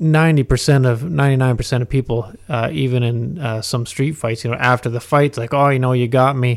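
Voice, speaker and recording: A man with an ordinary speaking voice talks at a medium pitch with fairly even intonation and hardly any pauses. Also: fairly quick pace. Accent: Canadian. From Ontario, Canada (Huntsville area). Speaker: mixed martial arts fighter. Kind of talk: interview.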